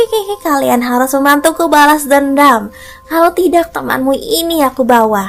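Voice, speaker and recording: A woman puts on a hoarse character voice at a high pitch and moderate pace, with faint music in the background. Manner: menacing, demanding revenge.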